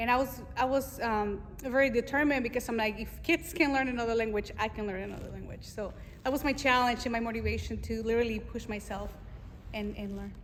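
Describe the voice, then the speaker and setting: A woman with a Spanish accent talks very fast at a fairly high pitch with fairly even intonation. Audible room echo surrounds her voice. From Mexico. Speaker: Navy veteran and fashion designer. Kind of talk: interview. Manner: casual, with many fillers.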